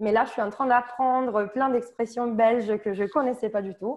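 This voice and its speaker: Ordinary pitch variation with a slight southern French accent. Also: woman. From Italy, Sicily. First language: Italian (speaking French). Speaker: volunteer. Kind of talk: testimony. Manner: halting.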